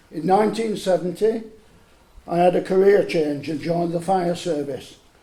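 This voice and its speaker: A man speaks with a high pitch and ordinary pitch variation. Noticeable background noise runs under his voice. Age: 70s. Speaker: retired firefighter and volunteer project manager. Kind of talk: speech to an audience.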